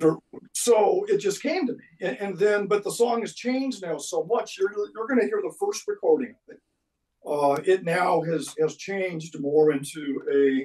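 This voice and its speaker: With a dark, mellow tone and a high pitch, a man speaks at a moderate pace. His intonation is lively. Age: 60s. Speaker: guitar builder and musician. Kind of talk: casual interview chat. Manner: halting.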